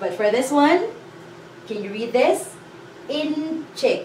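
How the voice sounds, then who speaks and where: Speaking with a Filipino accent and lively intonation, a woman is heard over light background noise with audible room echo. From Philippines. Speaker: language teacher. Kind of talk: lesson tutorial. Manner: slow, clear. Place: classroom. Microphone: camera far.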